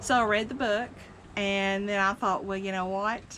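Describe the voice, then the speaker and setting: A woman's voice sits at a medium pitch, moving at a moderate pace with fairly even intonation. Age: 60s. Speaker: senior living community vlogger. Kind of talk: personal testimony. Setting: outdoors on a cabin porch. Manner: casual, hesitant with fillers.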